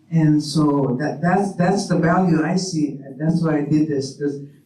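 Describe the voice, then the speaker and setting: A man with a fairly high pitch and a dark, mellow tone talks at a moderate pace, with audible room echo around him. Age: 80s. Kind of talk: panel discussion. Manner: halting.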